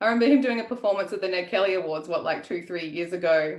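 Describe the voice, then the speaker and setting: A woman with an Australian accent speaks very fast in a fairly low voice with ordinary pitch variation. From Australia (Melbourne). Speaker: writer and event host. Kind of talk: livestreamed author interview, casual pre-show chat. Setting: online live video stream. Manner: casual with frequent fillers (um).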